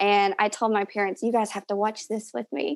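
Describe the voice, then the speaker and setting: Fairly high in pitch, a woman's voice comes through in a very clean recording with a silent background. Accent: Southern US. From Tennessee, Knoxville. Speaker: fan of a TV show, stay-at-home mom. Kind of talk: casual chat.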